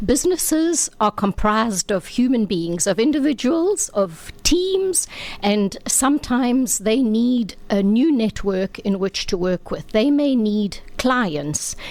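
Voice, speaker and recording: Over noticeable background noise, a woman with a fairly high pitch speaks at a very slow pace, her pitch swinging very widely. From South Africa, KwaZulu-Natal south coast (born Mauritius). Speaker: business networking consultant. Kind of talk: interview.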